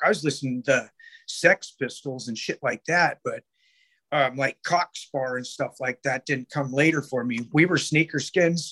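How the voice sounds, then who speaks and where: A man with a West Coast American accent speaks at a moderate pace, his pitch fairly high and its variation ordinary. The sound is dry and close, with no echo. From Sacramento, California. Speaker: punk record label owner. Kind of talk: casual interview.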